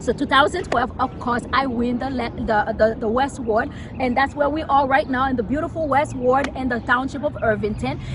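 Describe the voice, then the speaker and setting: With a Haitian accent, a woman talks at a high pitch with fairly even intonation and hardly any pauses, over noticeable background noise. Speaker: local politician. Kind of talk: interview. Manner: fast.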